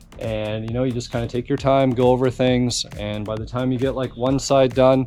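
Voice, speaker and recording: Medium-pitched male speech at a moderate pace, with monotone, flat intonation and music in the background. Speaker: car restoration YouTuber. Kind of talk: tutorial. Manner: casual.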